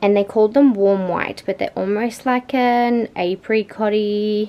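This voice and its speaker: Against noticeable background noise, a woman with an Australian accent talks at a fairly slow pace and a fairly high pitch. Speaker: vlogger, new mother. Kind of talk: casual vlog. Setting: at home.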